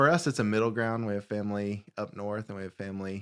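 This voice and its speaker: A man with a Southern US accent and a fairly low pitch speaks at a fairly quick pace with fairly even intonation in a very clean recording with a silent background. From Alabama. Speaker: youth pastor. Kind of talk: casual interview.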